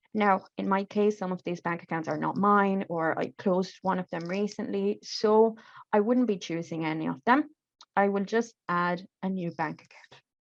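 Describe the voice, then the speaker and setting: A woman with a non-native accent talks at a medium pitch with ordinary pitch variation. Her loudness swings in big jumps. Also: moderate pace. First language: not English. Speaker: refugee support worker. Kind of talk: tutorial. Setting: video call. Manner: halting.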